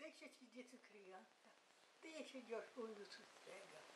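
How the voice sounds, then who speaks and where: A woman with a fairly high pitch and ordinary pitch variation speaks amid noticeable background noise. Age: 80s+. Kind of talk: poetry reading.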